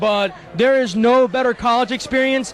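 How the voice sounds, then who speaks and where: Against noticeable background noise, a man with a New York accent speaks in an animated tone at a moderate pace, his extremely high pitch showing ordinary variation. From Long Island, New York. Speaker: nightclub VIP manager. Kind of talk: interview. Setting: nightclub.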